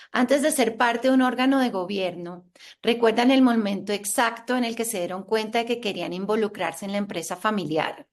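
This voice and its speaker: Her voice is fairly high and an unremarkable speaking voice. The woman talks at a moderate pace with ordinary pitch variation. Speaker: panel moderator. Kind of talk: panel discussion.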